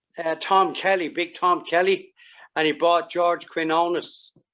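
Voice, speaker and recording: Here a man speaks with a Dublin accent at a fairly slow pace. His pitch is high and his intonation monotone and flat. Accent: Irish (Dublin). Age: 70s. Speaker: karate master. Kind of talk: interview.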